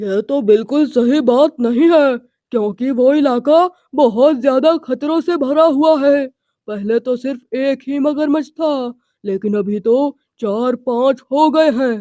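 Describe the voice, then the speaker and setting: Speaking fairly slowly, the cartoonish character voice sits at a high pitch. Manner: calm, responsible.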